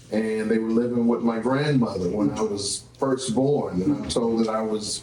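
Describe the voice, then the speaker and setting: A man with a New Orleans accent at medium pitch, moderate pace and ordinary pitch variation, amid noticeable background noise and audible room echo. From New Orleans, Louisiana (uptown, St Thomas projects). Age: 50s. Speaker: entrepreneur and show host. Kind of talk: interview.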